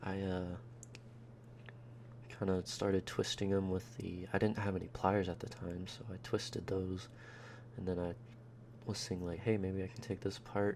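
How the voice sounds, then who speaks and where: The man is soft-spoken, with a fairly low pitch. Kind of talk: ASMR voice-over narrating a teardown. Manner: rambling, casual.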